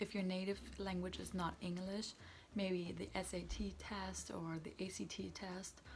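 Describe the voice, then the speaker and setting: At a fairly slow pace, a woman speaks in a German accent. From Germany. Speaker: student vlogger. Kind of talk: tutorial. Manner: casual.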